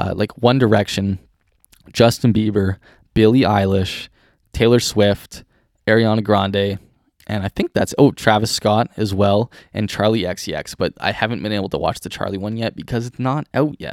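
Recorded very clean with a silent background and a dry, close sound with no echo, a man with a Canadian accent uses a plain, everyday voice at a fairly low pitch, moderate pace and fairly even intonation. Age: 20s. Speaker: podcast host. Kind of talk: casual monologue.

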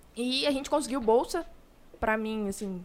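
A woman speaks at a moderate pace in an ordinary speaking voice, her fairly high pitch rising and falling in an ordinary way. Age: 20s. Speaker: law master's student. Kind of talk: casual chat.

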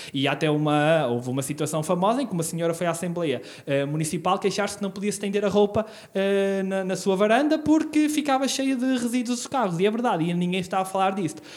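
A man's very fast, high-pitched speech with very wide pitch swings and hardly any pauses. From northern Portugal, Terras de Basto (Trás-os-Montes). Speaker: local election candidate. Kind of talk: interview.

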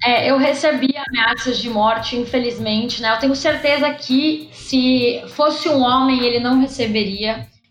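Over background music in a room with audible echo, a woman with a high voice talks at a fairly slow pace with very even loudness, fairly even intonation and hardly any pauses. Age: 20s. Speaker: political activist and candidate. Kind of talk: casual interview. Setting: online call.

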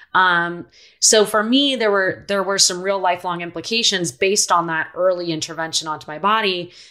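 A woman's bright, sharp voice at medium pitch, fairly quick in pace, with ordinary pitch variation. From Philadelphia, US East Coast, moved around abroad. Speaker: activist and author. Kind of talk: interview.

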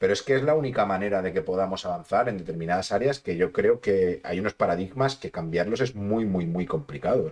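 A man talks at a fairly quick pace in an unremarkable speaking voice, pitched fairly low. His intonation is lively, and he hardly pauses at all. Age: 30s. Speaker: sports and health podcast host. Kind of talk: casual interview chat.

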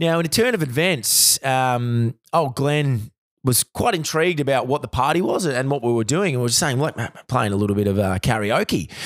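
With an Australian accent, a man speaks with lively intonation, very even loudness and hardly any pauses. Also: medium pitch for a man, moderate pace. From Australia, Victoria (Bendigo) and Adelaide. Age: 30s. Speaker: recruiter. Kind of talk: storytelling in casual chat. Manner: halting, many fillers and repeats.

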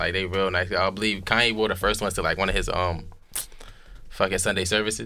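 A man talks at a very fast pace with very even loudness and fairly even intonation. His fairly low voice has a bright, sharp tone. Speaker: podcaster guest. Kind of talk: casual chat. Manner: talkative.

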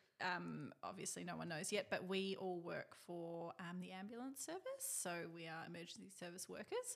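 A woman with an Australian accent talks at a moderate pace with hardly any pauses. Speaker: podcast co-host, ambulance service worker. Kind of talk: casual chat.

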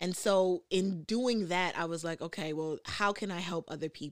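Ordinary pitch variation comes through in a New York accent on a very clean recording with a silent background. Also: woman. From New York, the Bronx. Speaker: podcast host. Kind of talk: casual chat. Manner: halting with frequent fillers.

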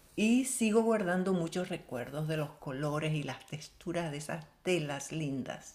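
This woman has a very deep, low voice and lively intonation. She talks fairly slowly with hardly any pauses. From Venezuela, El Tigre, Syrian family. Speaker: color forecaster. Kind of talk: interview.

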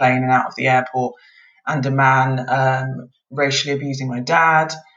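A woman's very deep, low voice with a British accent and monotone, flat intonation. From UK (Scotland then England), Nigerian parents. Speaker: lawyer. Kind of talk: casual interview.

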